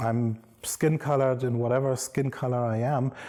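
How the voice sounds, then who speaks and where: The voice carries a German accent. Its tone is dark and mellow. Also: man. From Germany. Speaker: professor. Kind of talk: lecture.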